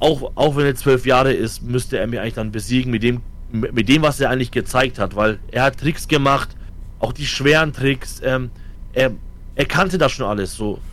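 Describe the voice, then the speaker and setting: This man has a normal speaking voice at medium pitch. His pace is moderate and his pitch varies in an ordinary way. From Franconia, Germany (Fürth). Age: 30s. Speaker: esports coach. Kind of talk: casual chat.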